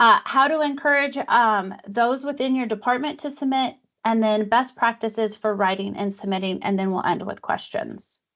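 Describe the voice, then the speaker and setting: A woman has an ordinary speaking voice at a fairly high pitch with ordinary pitch variation. She keeps a moderate pace with hardly any pauses against a quiet background. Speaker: awards committee chair presenting a workshop. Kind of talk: online workshop presentation. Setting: video call.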